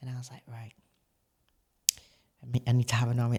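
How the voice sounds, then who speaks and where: A woman's very deep, low voice, dark and mellow in tone and somewhat breathy. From northern England, Barnsley (Yorkshire). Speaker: former bodybuilder and coach. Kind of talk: podcast interview.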